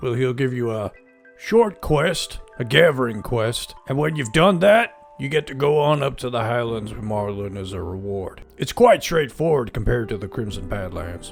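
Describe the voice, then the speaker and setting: A man's put-on character voice at medium pitch, with faint music in the background. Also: moderate pace. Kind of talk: gameplay commentary in character.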